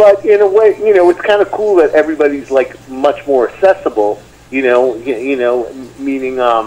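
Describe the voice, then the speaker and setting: In a New York accent, a man speaks at a moderate pace with a fairly high pitch and very wide pitch swings, over noticeable background noise. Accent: heavy New York. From US Northeast, Long Island, New York. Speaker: metal guitarist. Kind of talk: interview. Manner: halting, many fillers.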